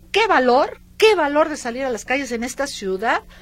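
Amid noticeable background noise, a woman speaks at a moderate pace in an animated tone with very wide pitch swings. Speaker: radio host. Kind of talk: radio show chat.

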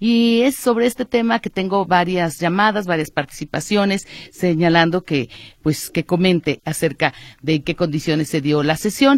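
With an ordinary speaking voice, a woman speaks at a moderate pace in a fairly low pitch with lively intonation, the sound dry and close with no echo and the recording very clean with a silent background. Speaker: radio host. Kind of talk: radio news talk show.

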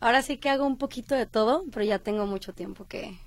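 A woman's normal speaking voice, fairly high-pitched, with ordinary pitch variation and a fairly quick pace, on a very clean recording with a silent background. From Colima, Mexico. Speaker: actress. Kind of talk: interview.

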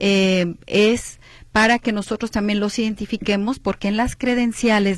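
In a very clean recording with a silent background, a woman speaks at a medium pitch and a moderate pace with fairly even intonation. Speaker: university admissions official. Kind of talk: radio interview. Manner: clear.

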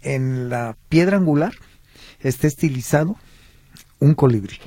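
A man speaks slowly-ish at a fairly high pitch, somewhat breathy. His intonation is lively, broken by long, frequent pauses. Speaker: historian and cultural tour guide. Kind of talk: radio interview.

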